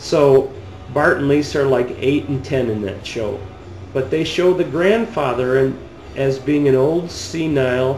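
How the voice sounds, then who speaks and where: A man's medium-pitched voice with ordinary pitch variation at a fairly slow pace, with audible room echo and noticeable background noise. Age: 50s. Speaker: video blogger. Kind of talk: opinion rant. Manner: animated.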